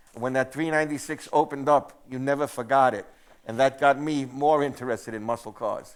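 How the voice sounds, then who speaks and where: In a New York accent, a man speaks at a medium pitch and a fairly quick pace with fairly even intonation. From New York City, Queens. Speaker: museum curator. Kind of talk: casual onstage talk. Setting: theatre stage with audience.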